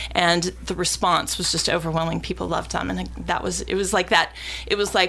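Over noticeable background noise, a woman's delivery keeps a fairly quick pace. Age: 50s. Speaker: music festival director. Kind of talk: casual chat.

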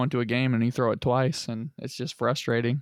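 A man with an American accent talks at a fairly quick pace and a medium pitch. His delivery is flat and monotone, with a dry, close sound and no echo. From Lebanon (US). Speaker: football player and podcast co-host. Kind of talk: casual chat.

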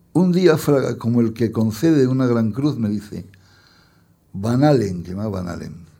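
A man's medium-pitched voice, dark and mellow in tone, with lively intonation at a fairly slow pace and audible room echo. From Spain, Madrid. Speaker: poet and journalist. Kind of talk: public interview. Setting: stage with audience.

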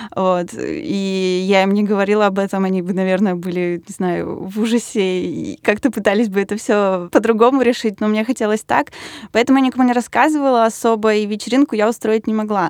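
A woman's unremarkable speaking voice, fairly quick, with ordinary pitch variation on a very clean recording with a silent background. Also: medium pitch for a woman. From Russia, Yaroslavl. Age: 20s. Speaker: designer. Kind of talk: casual chat.

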